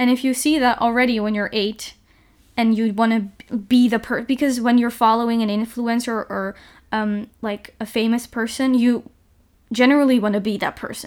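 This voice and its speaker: A woman's fairly high, monotone voice with flat intonation at a moderate pace, on a very clean recording with a silent background. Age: young. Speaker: podcast host. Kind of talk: casual chat.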